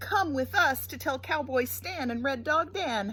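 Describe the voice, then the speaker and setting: Over clear background noise, a woman performs a put-on character voice at a high pitch. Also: moderate pace. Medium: read story. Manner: excitable.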